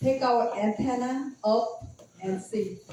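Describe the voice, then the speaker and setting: The speech comes at a very slow pace in a Korean accent. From South Korea. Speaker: Bible class interpreter. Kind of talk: interpreting a Bible lesson. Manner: halting.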